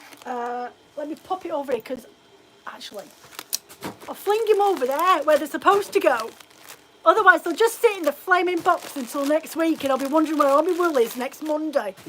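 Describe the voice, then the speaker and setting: Fairly quick, animated speech with lively intonation and noticeable background noise. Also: woman. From Scotland, Edinburgh; forces family, moved around. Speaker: fibre craft shop owner. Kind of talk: casual live stream chat. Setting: live video stream at home. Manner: chatty, animated.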